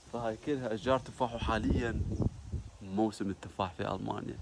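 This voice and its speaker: A man with a fairly low pitch speaks at a moderate pace as noticeable background noise carries on. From Iraq, Basra. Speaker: vlogger. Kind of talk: casual vlog.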